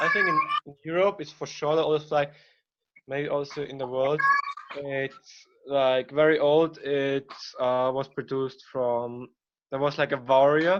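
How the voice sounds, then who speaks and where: A man with a German accent and a fairly high pitch speaks at a fairly slow pace with fairly even intonation and long, frequent pauses. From Austria. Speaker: presenter on his country. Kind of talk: informal presentation.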